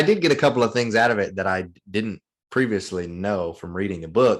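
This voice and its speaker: In a very clean recording with a silent background, a speaker with a Southern US accent goes at a fairly quick pace with ordinary pitch variation. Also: man. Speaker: real estate investor. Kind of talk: podcast interview.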